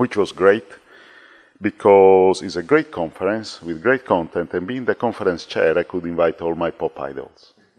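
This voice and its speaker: A man with an Italian accent speaks at a moderate pace in a very deep, low voice, with ordinary pitch variation and a dry, close sound free of echo. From Italy. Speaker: former conference chair. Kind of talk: casual chat.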